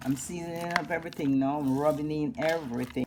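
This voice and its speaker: A woman with a Jamaican accent speaks at a fairly quick pace in a very deep, low voice, her intonation lively over noticeable background noise. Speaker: cooking vlogger. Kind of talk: cooking tutorial. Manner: animated.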